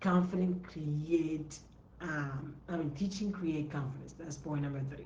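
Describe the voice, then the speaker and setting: Spoken at a fairly slow pace with a non-native accent, the voice keeps a fairly even intonation amid audible room echo. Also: woman, very deep, low pitch for a woman. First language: not English. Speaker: entrepreneur coach. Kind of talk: live stream talk. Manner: repetitive, emphatic.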